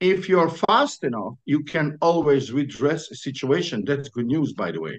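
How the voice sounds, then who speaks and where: A man with a fairly high pitch speaks at a moderate pace with hardly any pauses. His intonation is lively, and there is vocal fry. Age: 60s. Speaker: entrepreneur, business consultant. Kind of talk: interview. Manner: halting.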